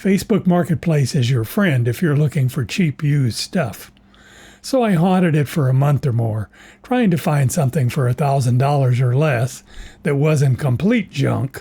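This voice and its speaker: With a dark, mellow tone and a somewhat breathy edge, a man speaks at a moderate pace and fairly high pitch, his intonation lively and his loudness very even. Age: 80s+. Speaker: retired DIY video maker. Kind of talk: scripted narration.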